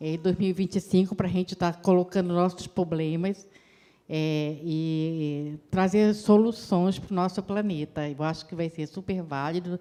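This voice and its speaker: Her fairly low pitch and dark, mellow tone mark a woman speaking at a fairly slow pace with fairly even intonation. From Brazil, Belém do Pará. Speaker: climate commission member. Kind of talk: impromptu public meeting speech.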